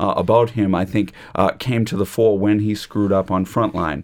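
A man with an ordinary speaking voice, fairly low in pitch, at a fairly quick pace. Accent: American. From United States. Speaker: law lecturer. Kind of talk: panel discussion on radio. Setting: studio.

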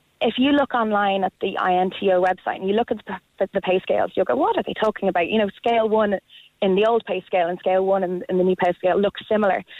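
A very fast delivery with an Irish accent and fairly even intonation. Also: woman, medium pitch for a woman. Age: 30s. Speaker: primary school teacher. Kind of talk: radio phone-in.

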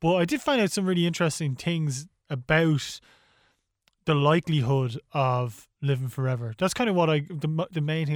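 A man speaks with an Irish accent. The sound is dry and close, with no echo. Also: very clean recording, silent background. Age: 30s. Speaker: podcast co-host. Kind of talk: casual chat.

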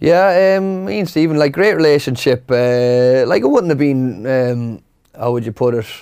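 This voice has a dark, mellow tone and a western Irish accent, with lively intonation at a moderate pace. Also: man, medium pitch for a man. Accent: Irish (west of Ireland). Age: 30s. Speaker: retired footballer. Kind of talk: casual interview. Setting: studio.

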